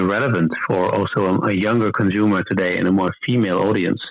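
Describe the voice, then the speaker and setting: In an American accent, a man speaks at a moderate pace and a fairly low pitch. His intonation is fairly even. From United States. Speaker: sporting goods executive. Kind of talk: interview. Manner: halting.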